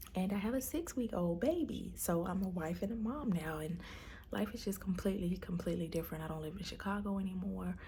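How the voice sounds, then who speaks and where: Room echo is audible as a woman talks at a very fast pace. Her pitch variation is ordinary. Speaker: vlogger, stay-at-home mom. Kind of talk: personal video diary. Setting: at home. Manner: soft-spoken, speaking low; hesitant, many fillers.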